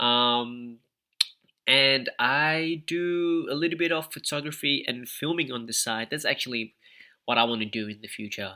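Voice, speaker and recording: A man's bright, sharp voice at a fairly slow pace with ordinary pitch variation, in a very clean recording with a silent background. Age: 20s. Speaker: podcast host. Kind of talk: casual chat. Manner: casual, rambling with fillers.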